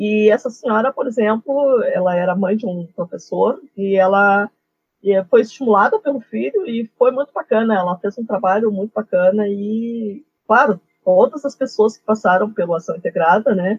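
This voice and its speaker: At a moderate pace, a woman speaks somewhat breathily, with big swings in loudness and ordinary pitch variation. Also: fairly high pitch for a woman. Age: 50s. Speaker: geography teacher. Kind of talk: interview.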